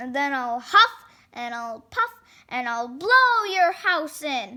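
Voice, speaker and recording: The speaker uses a put-on character voice with very wide pitch swings. The pace is fairly slow. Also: woman, high pitch for a woman. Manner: roaring, menacing.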